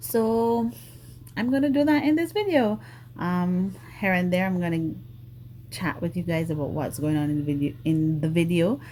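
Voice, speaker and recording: A woman's somewhat breathy voice, dark and mellow in tone, fairly low in pitch, with very wide pitch swings and long, frequent pauses. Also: moderate pace. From Grenada, rural village. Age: 40s. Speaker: nail artist YouTuber. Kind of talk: casual chat. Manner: hesitant, many fillers.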